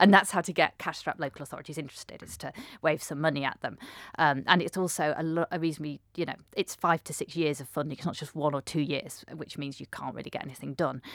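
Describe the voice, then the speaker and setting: A woman with a British accent talks at a very fast pace in a very deep, low pitch, with fairly even intonation and big swings in loudness. The recording is very clean with a silent background and a dry, close sound with no echo. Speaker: transport researcher, academic. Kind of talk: interview answers, academic explanation.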